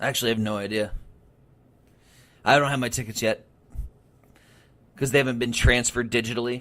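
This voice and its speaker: Loud and very fast, a man with an American accent speaks at a medium pitch in a bright, sharp tone, flat and monotone in intonation, with long, frequent pauses. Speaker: sports radio host. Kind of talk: casual chat.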